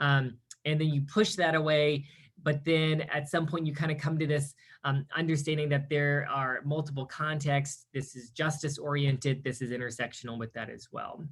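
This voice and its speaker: A man with an American accent has a fairly high pitch and a somewhat breathy sound. His intonation stays fairly even. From US South, Mississippi coast. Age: 30s. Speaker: academic speaker. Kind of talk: lecture. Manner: fast.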